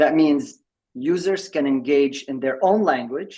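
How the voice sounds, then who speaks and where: At a very slow pace, a man talks in a fairly high voice with ordinary pitch variation. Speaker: tech company executive presenting a product. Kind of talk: presentation at an online member meeting. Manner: halting, with many repeated words and fillers.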